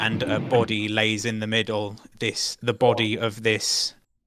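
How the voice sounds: Reading in a natural voice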